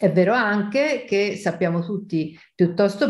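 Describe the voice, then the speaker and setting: A woman is heard against a quiet background. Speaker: statistics professor. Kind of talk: interview. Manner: animated. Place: home room. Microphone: webcam.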